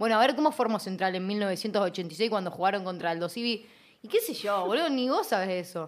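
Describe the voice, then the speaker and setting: A woman speaks at a fairly quick pace with lively intonation and medium pitch, in an unremarkable speaking voice. The recording is very clean, with a silent background. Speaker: radio host. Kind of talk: casual chat.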